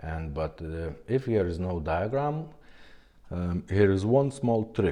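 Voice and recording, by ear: Speaking slowly, a man has a low pitch and a dark, mellow tone. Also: ordinary pitch variation.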